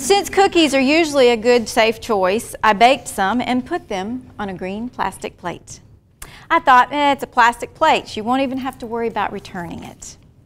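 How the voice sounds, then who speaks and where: A woman with a Southern US accent talks at a moderate pace in a high pitch, with lively intonation and big swings in loudness. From US South (small town near Talladega, Alabama). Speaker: military spouse and conference speaker. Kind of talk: personal story read aloud to an audience. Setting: conference talk with audience.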